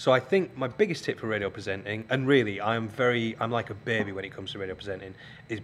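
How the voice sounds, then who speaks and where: With a strong Yorkshire accent, a man rattles along at a very fast pace in a medium pitch with ordinary pitch variation. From northern England, Keighley, West Yorkshire. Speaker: radio presenter and TV scriptwriter. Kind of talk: guest lecture. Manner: hesitant, many ums.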